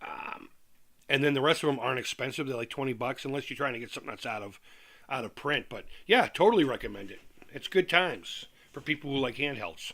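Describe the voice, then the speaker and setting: With an American accent, a man talks at a very fast pace in a fairly high pitch, his bright, sharp tone marked by lively intonation and big swings in loudness, on a very clean recording with a silent background. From Massachusetts, Worcester. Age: 40s. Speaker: retro gaming YouTuber. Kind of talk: casual live-stream chat. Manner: hesitant, many fillers and repeats.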